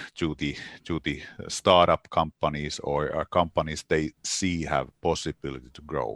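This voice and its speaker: The pace is moderate for this male speaker. His sound is close and dry, without any echo. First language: Finnish. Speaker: games industry association representative. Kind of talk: interview. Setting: remote call. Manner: halting, many repetitions.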